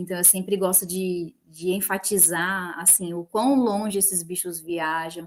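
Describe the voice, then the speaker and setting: A woman's ordinary speaking voice at a medium pitch, fairly slow and fairly even in intonation, with hardly any pauses. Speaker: biologist, field technician. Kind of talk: panel discussion.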